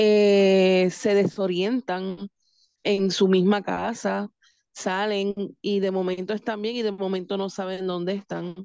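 A woman in a Puerto Rican accent speaks at a very slow pace and medium pitch, with monotone, flat intonation. Her tone is dark and mellow, and the sound is dry and close, with no echo, over a quiet background. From Puerto Rico, Manatí. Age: 40s. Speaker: home care and hospice representative. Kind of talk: radio interview.

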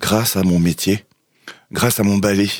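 A man speaking at a fairly slow pace. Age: 40s. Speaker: garbage collector. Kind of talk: casual interview. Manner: halting.

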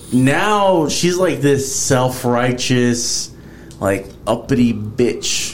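Noticeable background noise accompanies a man of medium pitch who talks at a very slow pace with lively intonation. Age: 30s. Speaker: podcast host. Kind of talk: casual chat.

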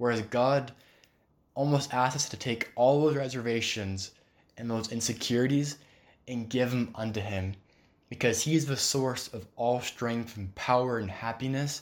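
In a very clean recording with a silent background, a man with an unremarkable speaking voice talks at a moderate pace in a medium pitch, with fairly even intonation. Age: 20s. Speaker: religious podcast host. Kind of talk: solo devotional talk. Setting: recording at home table. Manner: casual, rambling.

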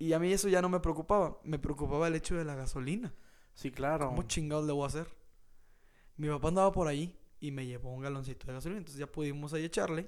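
The man's fairly high voice rushes along at a very fast pace. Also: ordinary pitch variation. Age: 20s. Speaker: podcast co-host. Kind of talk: casual chat.

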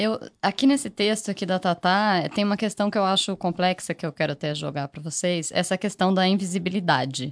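An unremarkable speaking voice moves at a fairly quick pace with hardly any pauses and ordinary pitch variation, recorded with a dry, close sound, no echo and a quiet background. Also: woman, medium pitch for a woman. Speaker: podcast producer. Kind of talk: casual chat.

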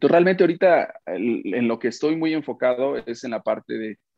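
A man speaks at a moderate pace in an ordinary speaking voice with lively intonation. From Mexico, Oaxaca. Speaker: media founder and publisher. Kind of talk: interview.

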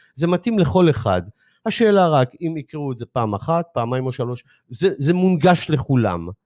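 Very clean recording, silent background: a man speaks here. His pitch swings very widely at a moderate pace. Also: fairly high pitch for a man. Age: 60s. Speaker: author and life coach. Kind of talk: interview. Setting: studio. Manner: halting.

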